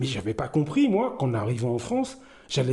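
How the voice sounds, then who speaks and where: A man speaks with lively intonation, keeping a moderate pace. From Martinique, raised in the north by grandmother. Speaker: commentary YouTuber. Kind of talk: personal commentary monologue. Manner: hesitant, many fillers.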